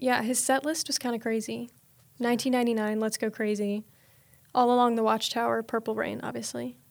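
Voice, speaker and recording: The speaker talks at a fairly quick pace with an American accent and monotone, flat intonation. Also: woman, fairly high pitch for a woman. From US South, Georgia. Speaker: university student and creative consultant. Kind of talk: casual chat.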